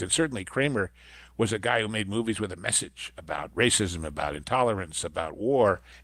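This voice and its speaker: On a very clean recording with a silent background, a man with vocal fry talks at a fairly quick pace with very wide pitch swings. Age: 70s. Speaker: film podcast co-host. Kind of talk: casual chat.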